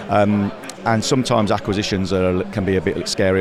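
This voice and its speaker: A man speaks in a very deep, low voice with monotone, flat intonation against noticeable background noise. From English Midlands. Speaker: industry trade association representative. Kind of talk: casual interview at trade show. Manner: hesitant, many fillers.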